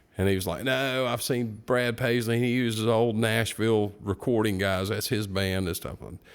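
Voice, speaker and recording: At a moderate pace and medium pitch, a man talks with hardly any pauses in a plain, everyday voice. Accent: American. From North Carolina (Morganton). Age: 60s. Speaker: guitar shop owner and guitarist. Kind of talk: casual chat.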